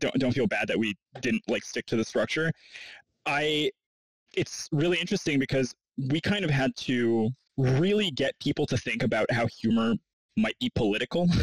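A man's fairly high voice at a moderate pace, with lively intonation, very even loudness, long, frequent pauses and a dry, close sound with no echo. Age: 30s. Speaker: podcast host. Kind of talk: interview.

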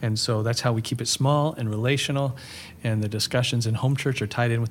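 A man's somewhat breathy voice sits at medium pitch with fairly even intonation. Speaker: pastor and author. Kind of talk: casual interview chat. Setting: in person. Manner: calm, gentle.

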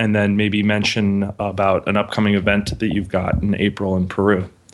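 A man speaks over noticeable background noise. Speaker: podcast co-host. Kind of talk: podcast interview.

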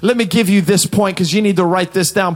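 The speaker uses a passionate tone over noticeable background noise. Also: man. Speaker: preacher. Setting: studio. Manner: high-energy, exhorting, punchy declarations.

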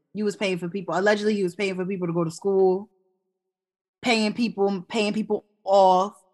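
A woman speaks at a medium pitch and fairly quick pace in a passionate tone. Her speech has long, frequent pauses. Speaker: podcast co-host. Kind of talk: casual chat. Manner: loud, passionate, excitable.

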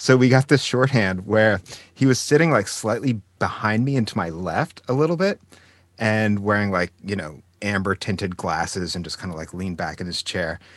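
With a normal speaking voice, a man talks at a moderate pace and a fairly low pitch, his intonation lively, on a very clean recording with a silent background. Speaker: podcast co-host. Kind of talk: interview.

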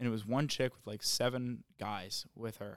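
A man uses a plain, everyday voice at a medium pitch, speaking fairly slowly with fairly even intonation in a dry, close sound with no echo. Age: 30s. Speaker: stand-up comedian. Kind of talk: casual chat.

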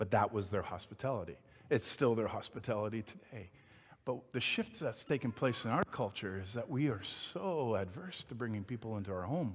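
At a fairly quick pace, the speaker's somewhat breathy voice carries lively intonation on a very clean recording with a silent background. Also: man, medium pitch for a man. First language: not English. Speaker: pastor. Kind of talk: sermon. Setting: church. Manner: halting.

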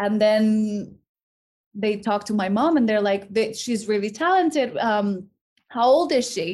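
In a Spanish accent, a woman talks at a fairly slow pace. Her fairly high voice has lively intonation. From Mexico. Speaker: actress. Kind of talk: casual chat.

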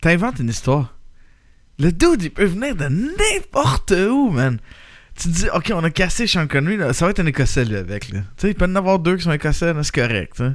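In a Quebec accent, a man with a high pitch makes very wide pitch swings on a very clean recording with a silent background. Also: moderate pace. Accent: Québécois French. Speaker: podcast host. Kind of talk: casual chat.

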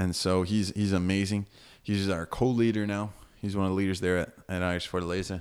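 An American accent comes through as a man speaks at a fairly quick pace, his pitch very deep and low and his loudness very even. The recording is very clean, with a silent background. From United States. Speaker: missionary. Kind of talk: casual interview about his faith journey. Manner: animated.

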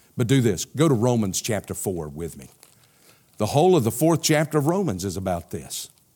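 Speaking with a Southern US accent at a fairly quick pace, a man with a medium pitch and a dark, mellow tone shows vocal fry, very wide pitch swings and big swings in loudness. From US South, South Carolina. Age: 60s. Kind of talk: sermon. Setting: church. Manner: animated.

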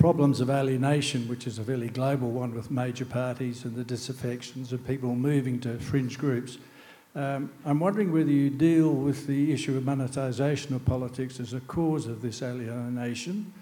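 Fairly even intonation runs through this moderate-paced speech in an Australian accent. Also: man. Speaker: audience member. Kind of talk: audience question. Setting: stage with audience.

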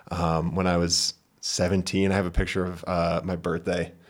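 In a very clean recording with a silent background, a man speaks at a moderate pace in a very deep, low, monotone voice. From New Hampshire. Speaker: filmmaker. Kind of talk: casual chat.

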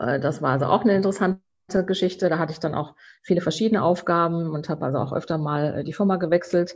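A woman's fairly low voice at a very fast pace, ordinary pitch variation, quiet background. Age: 50s. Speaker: founder of a cork bag label. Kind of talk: interview. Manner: hesitant with many fillers.

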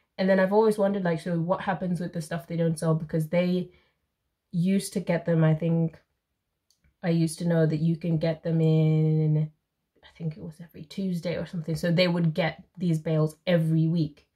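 Somewhat breathy and dark, mellow in tone, a woman with fairly low pitch speaks at a fairly quick pace in a monotone, flat intonation with big swings in loudness. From Zimbabwe. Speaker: YouTuber and book reader. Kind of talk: casual chat.

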